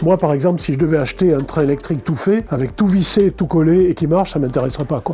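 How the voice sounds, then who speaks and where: Amid noticeable background noise, a man talks very fast with hardly any pauses. His pitch is fairly high and varies in an ordinary way. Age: 60s. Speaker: model train hobbyist. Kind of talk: interview. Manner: halting.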